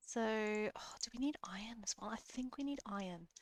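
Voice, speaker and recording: At a fairly slow pace, a woman talks in a fairly high pitch with ordinary pitch variation and a dry, close sound with no echo. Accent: Australian. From Australia. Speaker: gaming youtuber. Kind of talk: let's play commentary. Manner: casual, hesitant with fillers.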